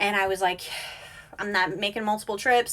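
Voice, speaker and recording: A woman with a medium pitch and a bright, sharp tone talks at a very fast pace with fairly even intonation. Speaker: reseller and social media livestream host. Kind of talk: casual livestream chat answering viewer questions. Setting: Instagram live video stream.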